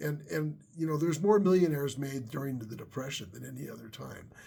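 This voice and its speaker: The man's voice sits fairly high and is somewhat breathy. His pitch varies in an ordinary way. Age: 60s. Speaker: YouTuber, worship leader and tech worker. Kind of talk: casual vlog monologue. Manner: halting, many fillers and repetitions.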